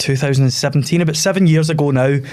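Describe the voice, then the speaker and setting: A man with a Scottish accent talks at a fairly quick pace in a fairly high pitch, with noticeable background noise. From Scotland. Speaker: theatre school owner and TV contestant. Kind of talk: podcast interview.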